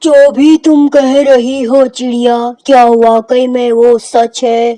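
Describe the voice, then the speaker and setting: A cartoonish character voice is heard here. The delivery comes fairly slowly. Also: female-sounding voice, high pitch for a woman. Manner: authoritative.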